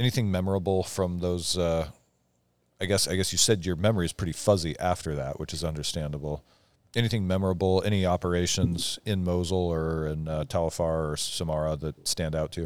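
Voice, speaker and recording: In a very clean recording with a silent background, a man talks at a fairly quick pace in a very deep, low pitch with fairly even intonation. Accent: American. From eastern Washington, US. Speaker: podcast host, military veteran. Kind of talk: casual chat. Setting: studio.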